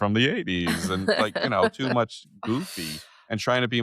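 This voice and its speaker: Recorded with a dry, close sound and no echo, a man speaks at a moderate pace with lively intonation and a bright, sharp tone. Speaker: podcast host.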